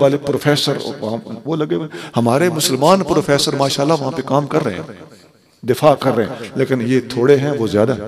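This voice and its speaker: Fairly high-pitched for a man, an ordinary speaking voice at a moderate pace, with ordinary pitch variation. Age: 60s. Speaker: Islamic scholar. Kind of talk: religious speech. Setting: stage in a mosque with audience.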